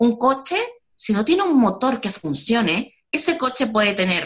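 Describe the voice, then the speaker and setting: Vocal fry runs through this voice. It keeps a moderate pace with very wide pitch swings. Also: woman. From Chile. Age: 30s. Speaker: educator and self-esteem course creator. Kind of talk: interview.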